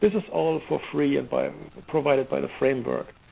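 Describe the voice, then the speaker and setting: Speaking at a moderate pace, a man carries a slight German accent. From Germany, Heidelberg. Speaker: software security expert. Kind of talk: interview. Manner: halting, many fillers and restarts.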